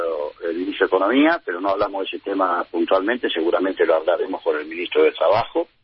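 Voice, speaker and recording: A man is speaking. His pace is very fast. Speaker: trade union leader. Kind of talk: radio interview.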